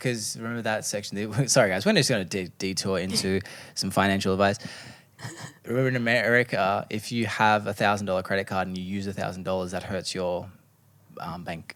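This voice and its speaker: A man with an Australian accent speaks at a fairly quick pace and with fairly even intonation. The recording is very clean, with a silent background. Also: fairly low pitch for a man. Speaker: podcast co-host. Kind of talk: casual chat.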